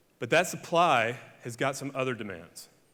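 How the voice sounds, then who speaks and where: With an Alabama accent, a man in a bright, sharp tone talks at a moderate pace on a very clean recording with a silent background. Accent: Southern US (Alabama). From Alabama, US South. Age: 40s. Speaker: conservationist. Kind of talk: conference keynote talk. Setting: stage with audience.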